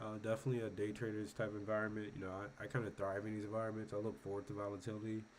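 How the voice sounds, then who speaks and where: With audible echo from the room, a man moves along at a fairly quick pace. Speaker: stock market commentator. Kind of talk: casual market recap with chart walkthrough. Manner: halting, many fillers.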